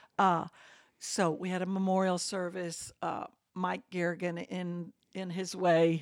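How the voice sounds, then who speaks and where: In an Alabama accent, a woman speaks with a fairly low pitch and flat, monotone intonation at a fairly slow pace. The recording is very clean and the background silent. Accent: US Southern (Alabama). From Birmingham, Alabama. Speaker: church member. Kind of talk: interview.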